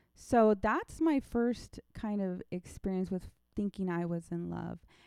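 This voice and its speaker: A woman with an American accent, an unremarkable speaking voice, medium pitch and ordinary pitch variation, at a fairly slow pace, in a dry, close sound with no echo against a quiet background. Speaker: church volunteer, mother. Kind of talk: casual chat.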